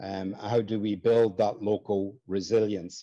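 A man with an Irish accent, a dark, mellow tone and monotone, flat intonation over a quiet background. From Ireland. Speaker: network coordinator and webinar host. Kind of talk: webinar moderation. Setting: video call. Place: office. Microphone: video call.

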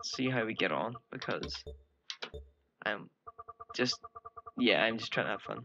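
Over noticeable background noise, a man speaks at a fairly slow pace. He leaves long, frequent pauses. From Northern Ireland. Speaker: gaming video creator; game commentator. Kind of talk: gameplay commentary. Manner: casual, rambling. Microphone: headset.

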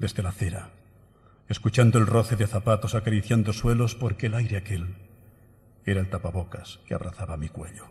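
A man with a fairly low, somewhat breathy voice and a solemn tone talks at a fairly quick pace with fairly even intonation, broken by long, frequent pauses. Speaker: pregón speaker (Holy Week proclamation orator). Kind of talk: pregón oratory, solemn poetic Holy Week proclamation delivered to an audience. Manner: solemn, rhythmic and emotive, lyrical cadence with evocative, measured pauses. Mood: solemn, emotive. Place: hall. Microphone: podium.

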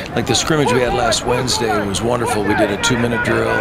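Loud background noise surrounds a man who talks very fast. The sound stays dry, without any echo. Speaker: football coach. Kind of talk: interview answer. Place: stadium. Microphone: handheld.

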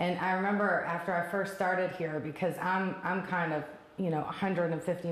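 Audible room echo surrounds a voice with fairly even intonation. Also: woman. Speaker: property operations director. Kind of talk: interview. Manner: fast. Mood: warm, appreciative. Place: office. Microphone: lapel.

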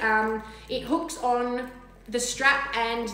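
A woman talks with a fairly high pitch and a fairly bright tone. Room echo is audible.

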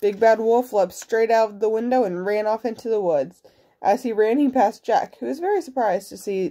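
Pitch shifts in an ordinary manner. The delivery is plain reading aloud.

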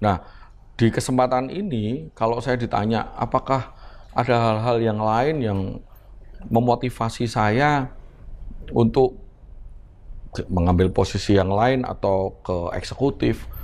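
The man talks at a very slow pace, leaving long, frequent pauses. His pitch varies in an ordinary way. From Semarang, Central Java; Central Java, Indonesia. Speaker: politician and businessman; politician. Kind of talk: casual interview. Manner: animated, jokes and laughs often. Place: home room.

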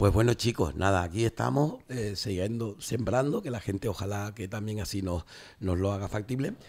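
The voice is somewhat breathy, with a moderate pace and ordinary pitch variation. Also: man, fairly low pitch for a man. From Canary Islands. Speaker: radio host. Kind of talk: radio talk show. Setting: studio. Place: studio. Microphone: studio mic.

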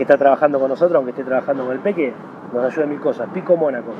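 With a Rioplatense accent, a man speaks at a fairly high pitch in a dry recording with no echo and noticeable background noise. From Argentina. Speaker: former tennis pro and federation executive; interviewee. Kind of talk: interview. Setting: tennis club. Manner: animated. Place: garden.

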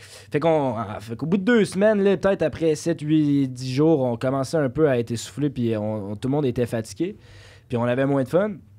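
A man talks at a fairly quick pace. His tone is dark and mellow, with lively intonation. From Quebec, South Shore near Lévis; Quebec. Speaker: podcast guest. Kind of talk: casual chat. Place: studio. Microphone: studio mic.

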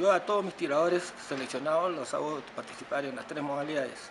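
A man talks fairly quickly with ordinary shifts in pitch, and noticeable noise fills the background. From Peru, Callao; Peru. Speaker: shooting coach. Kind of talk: interview; interview answer. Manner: halting. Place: hall.

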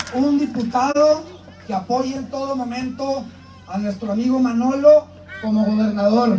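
At a fairly slow pace, a man speaks in an extremely high pitch with fairly even intonation over light background noise. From Piedras Negras, Coahuila, Mexico. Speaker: congressional candidate. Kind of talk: campaign rally speech. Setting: outdoor rally with crowd. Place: open country.

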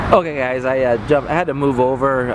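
A man in a dry recording with no echo, beneath loud background noise. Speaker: theme park vlogger. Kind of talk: casual vlog commentary. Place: street. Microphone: phone near.

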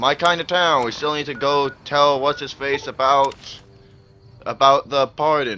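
Fairly slow speech from a man with a fairly high pitch, music in the background. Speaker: gaming video creator. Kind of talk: let's play commentary. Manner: animated, screaming at times.

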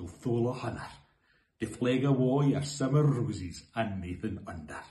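Man with a Scottish accent, a dark, mellow tone and vocal fry, in audible room echo. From Scotland. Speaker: poetry reader. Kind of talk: poetry reading. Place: home room. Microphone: phone near.

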